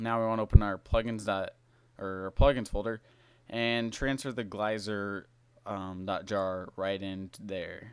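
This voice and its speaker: A man's normal speaking voice, fairly low in pitch, with fairly even intonation, a fairly slow pace and big swings in loudness, on a very clean recording with a silent background. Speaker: tutorial maker. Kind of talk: screen-recorded tutorial. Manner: casual with fillers.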